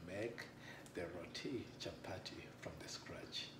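A man talks while noticeable background noise goes on behind him. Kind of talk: cooking tutorial. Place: kitchen. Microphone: camera far.

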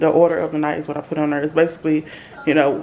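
Music plays in the background while a woman speaks with a very deep, low voice. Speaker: mom vlogger. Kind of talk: casual vlog chat. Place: kitchen.

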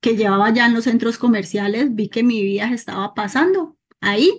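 A woman speaks in a somewhat breathy voice with ordinary pitch variation. The background is quiet. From Colombia. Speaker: network marketing consultant. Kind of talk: personal testimony. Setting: video call. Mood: earnest, reflective.

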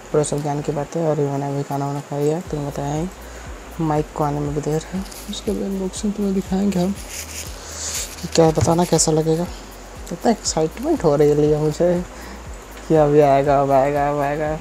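Noticeable background noise fills the recording. A man speaks with long, frequent pauses. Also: ordinary pitch variation, moderate pace. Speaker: vlogger. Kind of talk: casual vlog chat. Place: home room. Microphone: earbuds.

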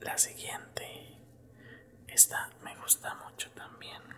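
Whispering and soft-spoken, a man talks at a very slow pace against noticeable background noise. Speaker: content creator. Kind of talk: casual ASMR-style chat. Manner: soft close-mic ASMR whisper. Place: home room.

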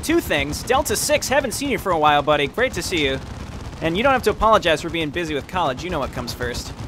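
Very fast and high-pitched, a man's voice swings very widely in pitch over noticeable background noise. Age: 20s. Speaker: gaming streamer. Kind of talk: casual chat. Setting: live stream with chat. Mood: friendly, joking.

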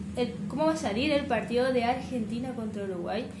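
Background noise is noticeable here. A woman speaks in a high voice. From Corrientes, Argentina. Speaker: gaming YouTuber. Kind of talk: casual talk to camera. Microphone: headset.

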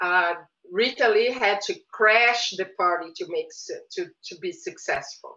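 Against a quiet background, a woman with a Portuguese accent and a fairly high pitch speaks at a fairly slow pace with very wide pitch swings. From Brazil, Rio de Janeiro. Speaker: visual artist. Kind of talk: interview. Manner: hesitant, many fillers. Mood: thoughtful, reflective. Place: home room. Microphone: webcam.

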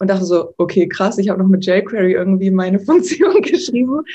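A woman's somewhat breathy, medium-pitched voice with a dark, mellow tone, lively intonation and a fairly quick pace. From Hamburg, northern Germany; Germany. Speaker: frontend developer; interviewee. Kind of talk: interview. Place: home room. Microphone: video call.

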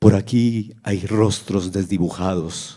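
Against a quiet background, a man with a dark, mellow tone speaks very slowly at a very deep, low pitch, with fairly even intonation. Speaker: live concert narrator. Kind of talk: dramatic narration of a battle story, first-person, with music concert. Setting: live concert. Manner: solemn, somber, grave. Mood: somber, fearful, dramatic. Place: stage. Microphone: handheld.

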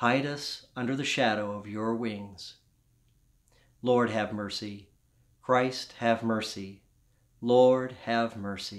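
A man speaks in a warm tone with an American accent, his intonation monotone and flat. His loudness swings widely, broken by long, frequent pauses against a quiet background. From US South. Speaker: Episcopal priest. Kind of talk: fervent intercessory prayer, led in a steady liturgical cadence. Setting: home, pre-recorded. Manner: earnest, warm, gently pleading; slow, measured, reverent. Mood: calm, solemn. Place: home room. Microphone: phone near.

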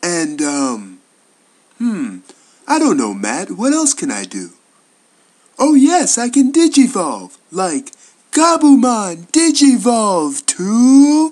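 A put-on character voice of fairly high pitch moves at a very slow pace with long, frequent pauses. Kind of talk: voice audition read. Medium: dub. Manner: hesitant, friendly.

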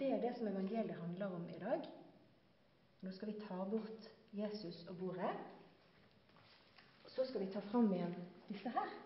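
In a room with strong echo, a woman talks at a medium pitch with ordinary variation, leaving long, frequent pauses.

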